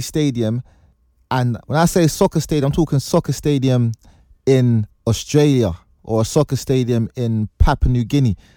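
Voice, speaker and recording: On a very clean recording with a silent background and a dry, close sound with no echo, a man with a London accent speaks at a moderate pace in a dark, mellow tone with ordinary pitch variation. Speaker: podcast host. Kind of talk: casual chat.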